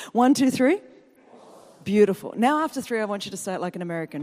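In an Australian accent, a woman speaks at a fairly quick pace with a fairly high pitch, an animated tone and lively intonation. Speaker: guest preacher. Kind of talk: sermon. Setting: church.

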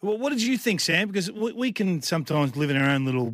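Speaking fairly quickly in an Australian accent, a man comes through a very clean recording with a silent background. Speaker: football pundit. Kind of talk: sports preview chat. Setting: radio studio.

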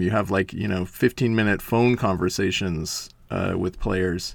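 Against a quiet background, a man talks in a normal speaking voice at a moderate pace with ordinary pitch variation. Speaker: magazine writer. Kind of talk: interview.

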